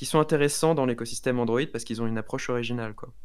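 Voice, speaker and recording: Here a man speaks in a normal speaking voice. His pitch is medium, with ordinary pitch variation. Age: 20s. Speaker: student and tech YouTuber. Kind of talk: casual interview.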